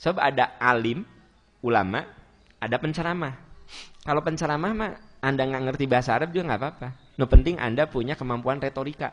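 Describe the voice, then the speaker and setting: Speaking at a very fast pace but with long, frequent pauses, a man uses a medium pitch and ordinary pitch variation. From West Java (Sundanese). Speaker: Islamic preacher. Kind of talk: sermon with Q&A.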